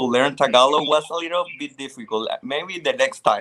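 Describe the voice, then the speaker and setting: A man speaks with a Spanish accent. His tone is bright and sharp, with ordinary pitch variation. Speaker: pageant contestant. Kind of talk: interview. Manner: halting.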